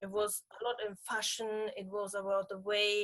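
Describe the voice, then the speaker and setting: In a German accent, a woman talks at a fairly slow pace. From Germany. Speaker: pageant titleholder. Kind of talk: interview. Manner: halting.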